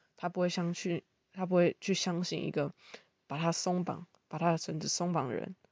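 Her pitch is fairly low for a woman. The woman talks at a moderate pace in a monotone, flat delivery. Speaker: podcaster and part-time teaching assistant. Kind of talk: casual monologue explaining philosophy.

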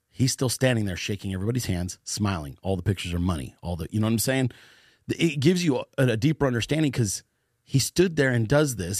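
At a fairly quick pace, a man with an American accent uses lively intonation, the sound dry and close with no echo. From US West Coast, Northern California Bay Area. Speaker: political podcaster and meme page leader. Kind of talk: casual interview chat. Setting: studio.

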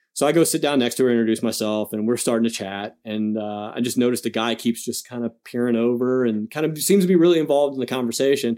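A man's dark, mellow voice of medium pitch at a very fast pace. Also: ordinary pitch variation, hardly any pauses. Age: 30s. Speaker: endurance athlete and army veteran. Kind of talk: casual chat.

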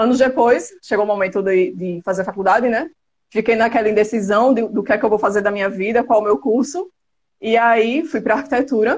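A woman speaks in a normal speaking voice, fairly high-pitched, with lively intonation at a fairly quick pace. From Brazil, Alagoas (Penedo). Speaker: architect and photographer. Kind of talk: casual live interview.

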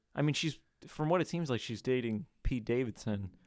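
A man's normal speaking voice at medium pitch, moderate pace, very clean recording with a silent background. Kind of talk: casual chat.

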